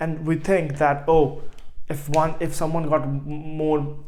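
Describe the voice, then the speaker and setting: In a room with audible echo, a man with an Indian accent speaks at a fairly high pitch. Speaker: online business coach. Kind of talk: motivational vlog. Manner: halting, frequent repetitions.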